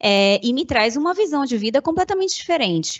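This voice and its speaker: Lively intonation marks this woman's speech. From Salvador, Bahia, Brazil. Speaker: corporate communication manager. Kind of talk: panel discussion.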